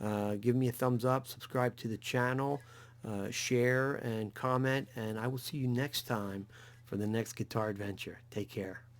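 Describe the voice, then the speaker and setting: A moderate pace and fairly even intonation, in a New Jersey accent. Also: man, medium pitch for a man. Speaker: guitar YouTuber. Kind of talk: tutorial. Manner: halting, many fillers.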